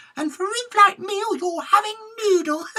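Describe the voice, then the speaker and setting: A squeaky, put-on character voice at an extremely high pitch moves along at a moderate pace. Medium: read story.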